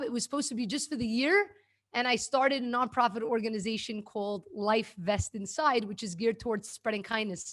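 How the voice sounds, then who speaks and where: A woman speaks with a New York accent. Her pitch sits fairly high. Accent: New York American. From New York City (Brooklyn). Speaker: kindness activist and former teacher. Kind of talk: interview conversation.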